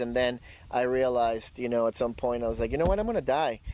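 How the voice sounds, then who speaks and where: A man with a Spanish accent speaks at a medium pitch with ordinary pitch variation. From Ecuador, Guayaquil (moved to US at 17). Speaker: dog trainer and poet. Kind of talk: interview. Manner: halting, many fillers.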